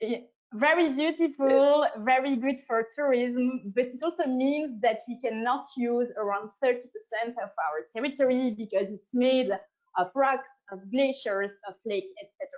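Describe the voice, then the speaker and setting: With a French accent, a woman speaks at a high pitch with ordinary pitch variation and big swings in loudness. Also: moderate pace. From Switzerland, French-speaking. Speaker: science diplomat. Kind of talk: interview.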